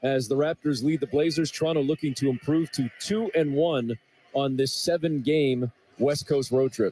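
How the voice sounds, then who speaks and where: The man has an ordinary speaking voice, fairly high in pitch, with ordinary pitch variation at a moderate pace. The sound is dry and close with no echo, and his loudness stays very even. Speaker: radio play-by-play announcer. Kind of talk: live commentary. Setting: radio broadcast of a basketball game.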